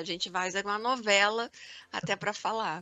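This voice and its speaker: Her fairly high-pitched, ordinary speaking voice keeps a moderate pace. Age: 50s. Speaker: podcast co-host, marketing director. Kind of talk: casual chat.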